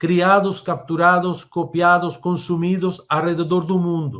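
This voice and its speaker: Speaking very slowly, a man with a Spanish accent uses a high pitch. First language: Spanish (speaking Portuguese). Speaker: technology speaker. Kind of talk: webinar presentation. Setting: online webinar. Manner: halting.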